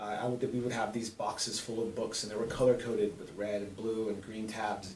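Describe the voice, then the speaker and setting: A man of medium pitch talks fairly quickly while noticeable background noise plays underneath. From Southern California (South Gate). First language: Spanish. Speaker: middle school English teacher. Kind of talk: testimony.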